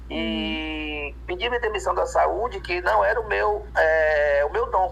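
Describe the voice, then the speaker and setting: A man speaks over noticeable background noise. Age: 40s. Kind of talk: interview. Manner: hesitant, many fillers.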